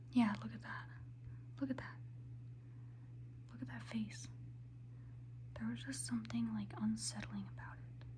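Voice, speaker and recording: Noticeable background noise sits behind a soft-spoken woman talking at a moderate pace. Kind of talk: ASMR ramble to camera. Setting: ASMR recording with tapping sounds. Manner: soft-spoken, casual, chatty.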